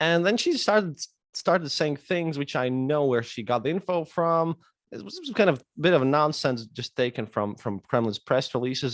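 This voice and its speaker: A man speaks with lively intonation at a moderate pace and a fairly high pitch. The sound is dry and close, with no echo. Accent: Latvian. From Latvia, Riga. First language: Latvian. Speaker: historian and podcaster. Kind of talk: casual interview chat. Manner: halting, many repetitions.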